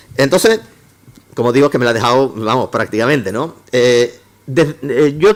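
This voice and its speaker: A man is speaking. His intonation is lively. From Córdoba, Andalusia. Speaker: engineering professor. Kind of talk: lecture. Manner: fast; halting, many false starts.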